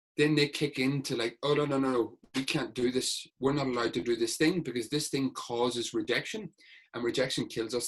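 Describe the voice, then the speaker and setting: Here a man speaks in a Northern Irish accent at a fairly quick pace. His pitch is medium, with ordinary pitch variation. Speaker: sports hypnotherapist. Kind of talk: podcast interview.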